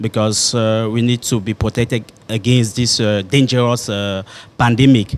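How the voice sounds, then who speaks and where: A man speaks with a French accent at a moderate pace. His pitch sits in the medium range. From Cameroon, grew up in Douala. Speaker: primary school head teacher. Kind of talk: interview. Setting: hotel. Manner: halting, many fillers.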